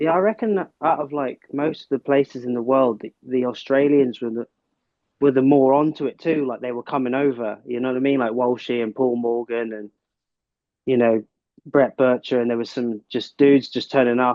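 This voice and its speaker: A man's medium-pitched voice in a Cornish accent, at a moderate pace with fairly even intonation. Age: 40s. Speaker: big wave surfer. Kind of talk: casual chat. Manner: halting.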